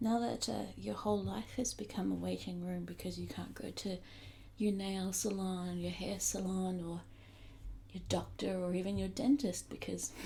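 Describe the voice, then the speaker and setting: This speaker has a New Zealand accent. The pace is moderate. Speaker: comedy vlogger. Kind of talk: casual talk to camera.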